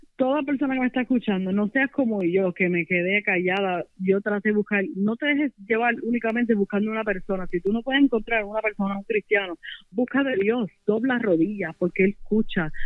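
Speaking with a Puerto Rican accent, a woman talks at a fairly quick pace with a fairly high pitch and hardly any pauses. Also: ordinary pitch variation. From Puerto Rico, Las Piedras. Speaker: religious testimony guest. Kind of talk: testimony.

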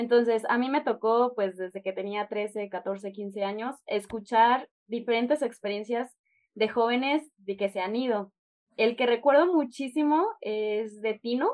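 With a normal speaking voice, a woman talks at a fairly slow pace and ordinary pitch variation. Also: fairly high pitch for a woman. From Chihuahua, northern Mexico. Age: 20s. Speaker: language club member and intern. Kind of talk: interview.

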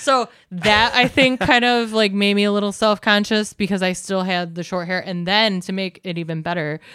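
A normal speaking voice from a woman at a moderate pace, with ordinary pitch variation, on a very clean recording with a silent background. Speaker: guest. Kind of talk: casual chat.

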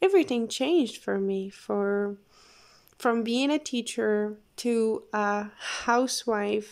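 In a very clean recording with a silent background, a woman with a non-native accent speaks very slowly at a fairly high pitch with ordinary pitch variation. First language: not English. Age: 20s. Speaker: podcast host. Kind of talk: casual monologue. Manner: halting.

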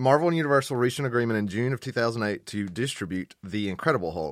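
Lively intonation from a man at a medium pitch. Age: 30s. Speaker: podcast co-host, guitar player. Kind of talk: casual chat. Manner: halting.

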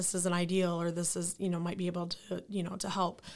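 A woman with a Midwestern American accent, medium in pitch, at a moderate pace. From Lansing, Michigan. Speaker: nonprofit founder. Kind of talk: interview.

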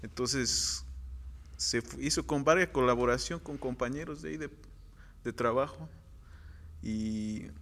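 In a very clean recording with a silent background, a man talks at a fairly slow pace. His pitch is medium. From Morelos, Mexico. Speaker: muralist. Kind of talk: interview.

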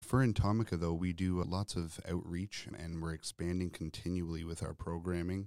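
A man with a Canadian accent speaks in a very deep, low voice with a dark, mellow tone, recorded dry and close with no echo, very clean, against a silent background. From Ontario, Canada. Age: 30s. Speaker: insectarium director and curator. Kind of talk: interview.

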